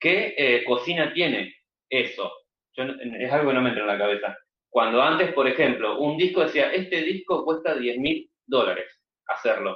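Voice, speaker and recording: Fairly high in pitch, a man talks at a moderate pace with an ordinary speaking voice. His pitch varies in an ordinary way. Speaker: music podcaster. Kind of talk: casual chat.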